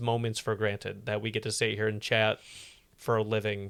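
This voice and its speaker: A man speaks at a moderate pace in a medium pitch, with a flat, monotone delivery on a very clean recording over a silent background. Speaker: podcast co-host and gamer. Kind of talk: casual chat.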